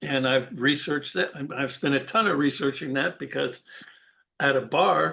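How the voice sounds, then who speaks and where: The voice has a bright, sharp tone and vocal fry, with an American accent. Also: man, fairly high pitch for a man, ordinary pitch variation, moderate pace, quiet background. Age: 70s. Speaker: insurance broker. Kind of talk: interview. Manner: casual, conversational.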